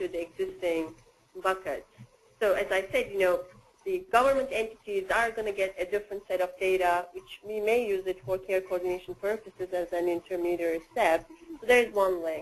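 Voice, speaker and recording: A non-native accent colors the speech. Delivery comes at a moderate speed. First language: not English. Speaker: workgroup facilitator presenting a diagram. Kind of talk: work meeting discussion.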